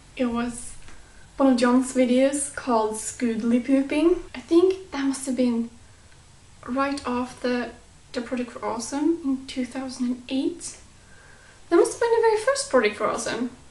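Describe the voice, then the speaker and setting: Through noticeable background noise, a woman with a non-native accent speaks at a high pitch with ordinary pitch variation. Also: moderate pace. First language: not English. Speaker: YouTube vlogger. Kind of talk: casual vlog.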